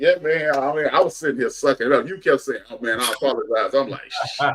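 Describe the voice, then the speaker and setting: This voice has an American accent and moves at a moderate pace. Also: man. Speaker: podcast host. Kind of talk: casual chat. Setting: live stream.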